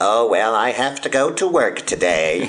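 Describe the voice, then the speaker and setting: Putting on a nasal character voice, a man speaks at a medium pitch and a moderate pace. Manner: nervous.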